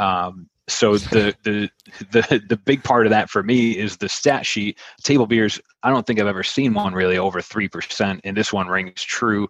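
With an American accent, a man speaks in an ordinary speaking voice at a moderate pace, fairly low in pitch, in a dry, close sound with no echo. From Buffalo, New York. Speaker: podcast host and beer-app marketer. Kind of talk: casual chat.

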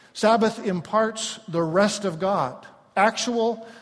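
A man speaks at a very slow pace with ordinary pitch variation. The recording carries audible room echo and noticeable background noise. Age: 50s. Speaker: pastor. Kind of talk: sermon. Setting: church.

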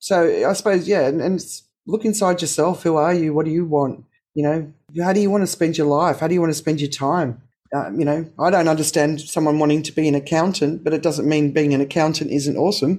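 Speaking fairly quickly with an Australian accent, a woman uses a very deep, low pitch, fairly even intonation and a dark, mellow tone. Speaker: podcast host. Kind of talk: casual interview.

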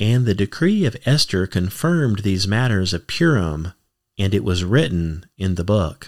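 Lively intonation from a man at a fairly low pitch, on a very clean recording with a silent background. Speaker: podcast host and ministry reader. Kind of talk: scripture reading aloud. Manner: slow, easy-listening pace.

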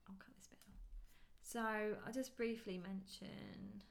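A woman with a British accent talks in a somewhat breathy, fairly high voice, with big swings in loudness and long, frequent pauses. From UK. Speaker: podcast co-host, wedding photographer. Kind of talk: casual chat. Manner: fast.

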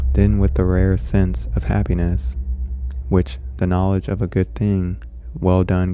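With music in the background, a man with a very deep, low voice speaks at a fairly slow pace in a calm tone, his intonation lively and his loudness very even. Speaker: horror podcast host and story reader. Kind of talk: literary audiobook reading, story narrated in first person with a measured, dramatic tone. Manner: casual, excitable, chatty host; in the story, calm and deliberate narrator, somewhat formal and period-styled.

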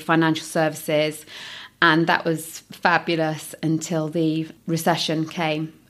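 In an East Midlands accent, a woman talks in a very deep, low pitch with monotone, flat intonation. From Nottingham, England. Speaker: recruitment business owner. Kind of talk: interview.

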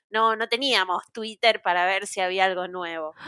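In a very clean recording with a silent background, a woman speaks at a moderate pace with ordinary pitch variation, a bright, sharp tone and a dry, close sound with no echo. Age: 30s. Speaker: podcast guest, Disney fan. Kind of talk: casual chat.

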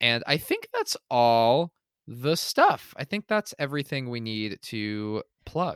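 Heard dry and close with no echo, a man talks at a very slow pace with lively intonation. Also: fairly high pitch for a man. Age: 20s. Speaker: podcast co-host. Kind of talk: casual chat.

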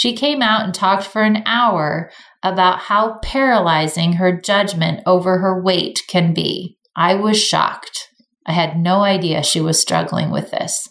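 An ordinary speaking voice from a woman, medium in pitch, fairly slow, with ordinary pitch variation. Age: 40s. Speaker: podcast host and beauty business founder. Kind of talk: casual chat; reading aloud.

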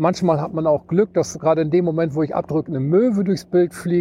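Here a man speaks with a high pitch and a dark, mellow tone. His pace is fairly quick, with ordinary pitch variation. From East Frisia, northern Germany. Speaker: hobby ship spotter and photographer. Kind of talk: casual interview. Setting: outdoors at a riverside pier.

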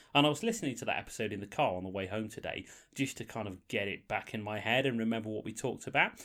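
A man at a very fast pace, medium in pitch, bright and sharp in tone, with a slight northern English accent. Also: ordinary pitch variation. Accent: slightly northern English, formerly posh. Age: 40s. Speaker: podcast host. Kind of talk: casual chat. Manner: banterful, jokey.

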